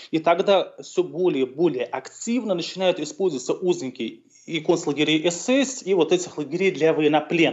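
This man's pitch is high and his intonation lively. He speaks at a moderate pace. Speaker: historian. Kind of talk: interview. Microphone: connection dropped briefly.

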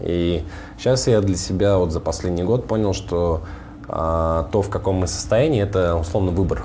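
A man's very deep, low voice amid noticeable background noise and audible room echo. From Russian Far North, Komi (Vorkuta area). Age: 30s. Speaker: tech startup founder. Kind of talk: casual interview.

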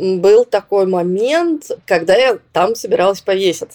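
Dry and close with no echo, a woman's voice has a plain, everyday voice quality, a medium pitch and lively intonation. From southern Russia, Rostov-on-Don. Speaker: psychologist. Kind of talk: interview.

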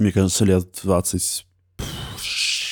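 A man with a very deep, low voice is heard on a very clean recording with a silent background. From Moscow. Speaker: podcaster. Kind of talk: casual conversation.

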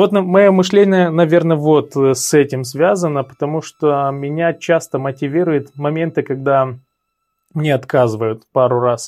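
Over a quiet background, a man with a fairly high pitch and a plain, everyday voice speaks at a fairly slow pace with ordinary pitch variation. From Moldova, Cahul. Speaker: sales trainer. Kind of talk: interview.

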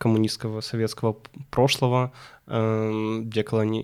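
The background is silent and the recording very clean. A man talks at a medium pitch, his intonation fairly even. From Ukraine, Kyiv. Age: 20s. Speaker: young professional guest. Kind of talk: podcast interview.

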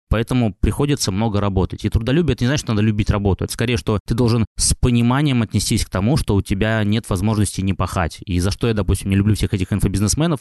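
Over a quiet background, a man talks at a very fast pace. His tone is dark and mellow, with very even loudness. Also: ordinary pitch variation, dry, close sound with no echo. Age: 30s. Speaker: music and blogger producer, entrepreneur. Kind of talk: interview.

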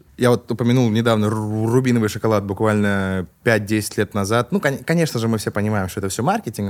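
With a plain, everyday voice, a man talks at a fairly quick pace, his fairly low pitch showing ordinary pitch variation. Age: 20s. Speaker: rapper and confectionery business owner. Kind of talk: casual chat.

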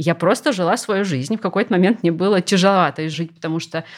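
This woman has an unremarkable speaking voice, pitched fairly low, with pitch that moves in a typical way. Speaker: art historian and lecturer. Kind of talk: casual chat.

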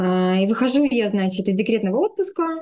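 This woman has an ordinary speaking voice with a fairly high pitch, lively intonation and a fairly slow pace. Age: 30s. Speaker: speech therapist. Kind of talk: interview storytelling.

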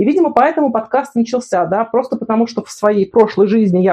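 A woman's fairly high voice at a very fast pace, with ordinary pitch variation. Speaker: podcast host. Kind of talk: interview. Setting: remote call.

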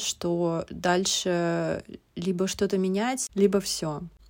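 This is a woman speaking at a medium pitch. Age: 30s. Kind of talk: recorded monologue. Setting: hotel room in a forest resort, sitting on the floor.

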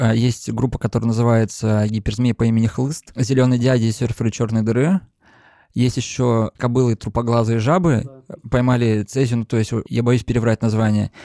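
Recorded dry and close with no echo, a man speaks at medium pitch and a moderate pace in a dark, mellow tone with fairly even intonation. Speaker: concert promoter and label co-founder. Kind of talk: casual interview chat. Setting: in person in Saint Petersburg.

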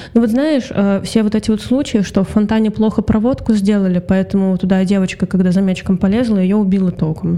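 A woman at medium pitch speaks at a fairly quick pace with very even loudness and fairly even intonation, against noticeable background noise. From Russia, Saint Petersburg. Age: 20s. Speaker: voice actress. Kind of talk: interview.

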